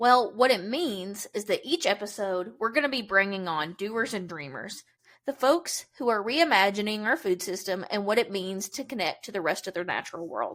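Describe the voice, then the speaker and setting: Speaking with a Kentucky accent at a moderate pace, a woman with a medium pitch uses lively intonation and big swings in loudness, with hardly any pauses. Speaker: podcast host, farm PR coordinator. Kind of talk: podcast introduction monologue. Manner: enthusiastic.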